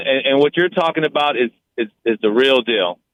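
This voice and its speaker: A man speaking at a fairly slow pace. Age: 40s. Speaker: caller. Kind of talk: call-in opinion. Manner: halting.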